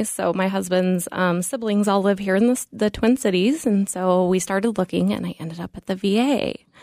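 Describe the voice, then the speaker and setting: Recorded very cleanly with a silent background and a dry, close sound with no echo, a woman with an unremarkable speaking voice and an American accent talks fairly quickly at a medium pitch with ordinary pitch variation. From Colorado. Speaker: cardiology nurse practitioner. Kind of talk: radio interview.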